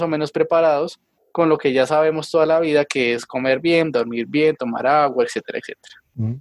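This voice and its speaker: A man speaks at a very fast pace with a fairly high pitch and fairly even intonation. The recording sounds dry and close, with no echo. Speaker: physician, epidemiologist. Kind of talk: interview. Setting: video call.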